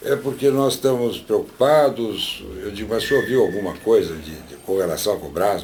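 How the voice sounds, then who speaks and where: A man speaks at a moderate pace, with noticeable background noise and audible room echo. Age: 70s. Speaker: industrialist testifying. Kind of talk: testimony. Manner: halting, many repetitions.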